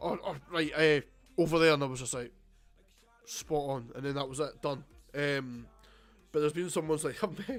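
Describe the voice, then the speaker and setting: A man's fairly high voice in a Scottish accent, with long, frequent pauses. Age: 20s. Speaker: streamer. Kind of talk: casual live stream chat. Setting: live stream at home. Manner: casual, rambling with fillers.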